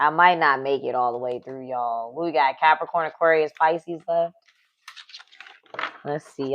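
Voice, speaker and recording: A woman with a very deep, low voice and ordinary pitch variation speaks at a moderate pace, her loudness swinging widely and her speech broken by long, frequent pauses. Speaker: tarot reader. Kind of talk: live tarot reading. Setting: livestream. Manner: casual, conversational.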